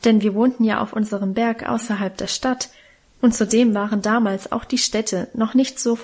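A natural reading voice, its intonation fairly even

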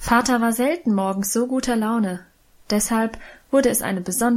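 Natural-voiced reading aloud with ordinary pitch variation

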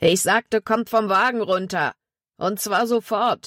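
A put-on character voice, female-sounding, medium in pitch, at a fairly slow pace. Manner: commanding, threatening.

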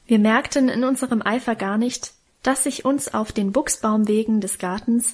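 The reading voice is unforced. Nothing about it sounds pushed.

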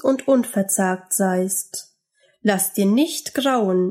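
Here is an unforced reading voice, its pitch moving in an ordinary way. Nothing much sounds behind it.

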